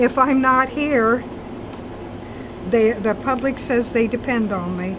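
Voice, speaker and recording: Against noticeable background noise, a woman talks very slowly at a high pitch with ordinary pitch variation. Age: 70s. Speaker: convenience store owner. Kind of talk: interview.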